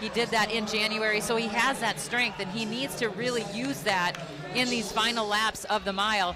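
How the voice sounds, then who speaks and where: A woman speaks at a moderate pace with a Minnesotan accent, her pitch fairly high and her intonation fairly even. The room echo is audible, and background noise is noticeable. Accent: Minnesota. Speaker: track commentator, former college runner. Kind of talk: live commentary.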